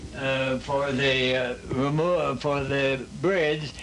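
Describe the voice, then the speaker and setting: A man speaks very slowly, with audible room echo and noticeable background noise around him. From US Midwest, southwest Ohio. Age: 80s+. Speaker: war veteran. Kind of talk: interview. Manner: halting.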